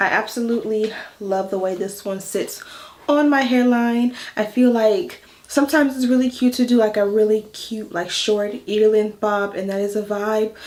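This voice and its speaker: With noticeable background noise behind her, a woman speaks at a moderate pace in a fairly high pitch with ordinary pitch variation. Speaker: hair and wig vlogger. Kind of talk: tutorial. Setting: home voice-over. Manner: casual, chatty; stuttering.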